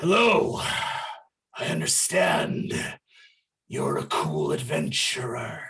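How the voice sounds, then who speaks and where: A raspy, put-on character voice speaks at a very slow pace with long, frequent pauses and an audible echo. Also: man. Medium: actual play.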